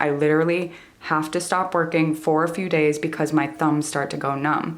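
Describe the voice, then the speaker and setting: A woman speaks at a moderate pace with a very deep, low pitch. The room adds audible echo. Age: 20s. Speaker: stained glass artist, YouTuber. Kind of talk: tutorial. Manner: animated.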